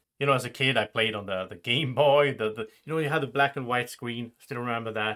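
In a Swedish accent, a man speaks at a very fast pace with medium pitch and ordinary pitch variation. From Sweden. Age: 30s. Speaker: board game youtuber and podcast host. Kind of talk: casual chat.

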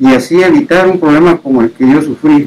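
A man with a high pitch talks fairly slowly, his pitch swinging very widely, against noticeable background noise. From Oaxaca, Mexico. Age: 60s. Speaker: COVID-19 survivor. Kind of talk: testimony.

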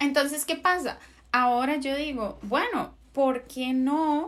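Her voice high in pitch, a woman speaks very slowly with ordinary pitch variation. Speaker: podcast co-host. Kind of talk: casual chat.

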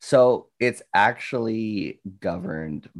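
A man with a Canadian accent speaks very slowly, with vocal fry. His intonation is lively. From Canada, northern Ontario. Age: 20s. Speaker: Twitch streamer. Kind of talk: casual chat.

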